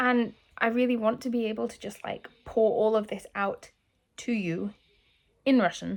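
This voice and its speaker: In a very clean recording with a silent background, a woman with a British accent speaks at a fairly high pitch. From England. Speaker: YouTuber learning Russian. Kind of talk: vlog talking to camera. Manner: halting, many fillers; emotional, earnest.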